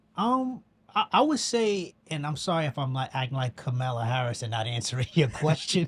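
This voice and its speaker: In a New York accent, a man talks fairly quickly with a fairly high pitch and very wide pitch swings. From New York, the Bronx. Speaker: filmmaker. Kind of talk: casual chat.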